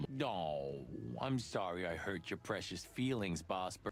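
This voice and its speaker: A man uses a put-on character voice with a very deep, low pitch at a fairly slow pace. Clear background noise can be heard behind him. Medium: video game. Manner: sarcastic.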